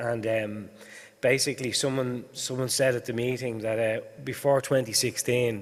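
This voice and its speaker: The speaker has an Irish accent and uses fairly even intonation. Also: man. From Ireland. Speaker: higher education policy official. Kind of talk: conference talk. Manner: halting, many fillers.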